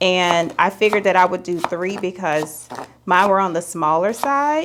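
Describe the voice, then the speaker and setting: Over noticeable background noise, a woman at a medium pitch talks in a relaxed tone at a moderate pace, with ordinary pitch variation and a slight Southern US accent. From US South, Alabama. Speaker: lifestyle vlogger. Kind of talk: casual vlog, baking tutorial. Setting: home kitchen. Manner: chatty, relaxed.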